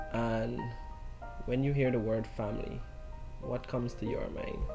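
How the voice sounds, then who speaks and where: A man speaks with music playing in the background. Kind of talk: casual vlog interview host.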